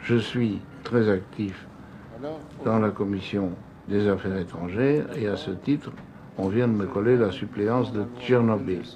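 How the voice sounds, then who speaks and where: Noticeable background noise and audible room echo are present. The man talks very slowly. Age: 70s. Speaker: senator and businessman. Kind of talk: documentary interview.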